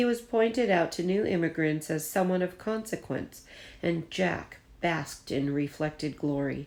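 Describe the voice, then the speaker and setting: A woman speaks with a plain, everyday voice at a moderate pace. Her pitch is fairly low and her loudness very even. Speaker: teacher. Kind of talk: children's book read-aloud. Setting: recorded at home.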